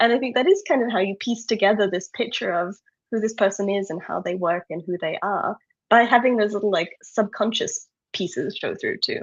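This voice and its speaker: With an Australian accent, a woman speaks fairly quickly at a fairly high pitch, using ordinary pitch variation. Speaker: online events organizer. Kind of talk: casual interview chat.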